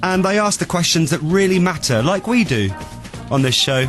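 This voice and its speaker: Music plays in the background as a man with a high pitch talks at a moderate pace, his pitch swinging very widely. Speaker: radio presenter hosting a podcast. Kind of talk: casual radio banter, chatting with co-host.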